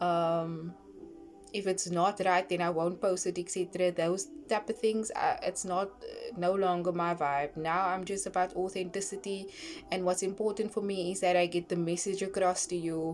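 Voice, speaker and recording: Over music in the background, a woman speaks at a moderate pace with medium pitch and fairly even intonation. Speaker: online scripture reader and brand owner. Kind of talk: casual vlog talk. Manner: halting with pauses and fillers.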